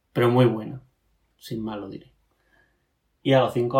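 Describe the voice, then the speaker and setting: The voice is somewhat breathy. It moves at a fairly quick pace with ordinary pitch variation. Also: man. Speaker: podcast co-host. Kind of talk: casual chat.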